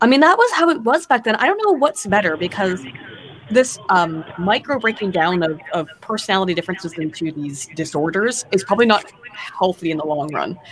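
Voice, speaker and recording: A woman's medium-pitched voice at a fairly quick pace with very wide pitch swings, over noticeable background noise. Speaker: streamer. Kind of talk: casual chat. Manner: cluttered speech.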